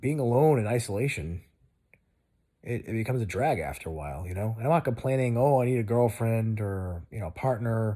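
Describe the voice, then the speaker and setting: On a very clean recording with a silent background, a man speaks at a moderate pace and medium pitch, with lively intonation and a relaxed, dark, mellow tone. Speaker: video blogger. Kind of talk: casual monologue. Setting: lying in bed. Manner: rambling, loose; relaxed, lying down.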